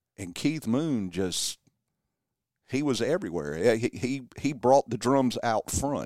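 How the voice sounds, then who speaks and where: In a very clean recording with a silent background, a man speaks at a fairly slow pace with lively intonation in a plain, everyday voice. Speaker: local musician, drummer in a band. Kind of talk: casual radio interview. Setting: radio studio.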